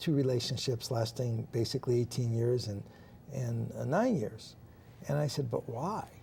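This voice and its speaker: At a moderate pace, a man's somewhat breathy voice carries a dark, mellow tone, medium pitch and ordinary pitch variation. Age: 60s. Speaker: talk show co-host. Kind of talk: inspirational talk show conversation.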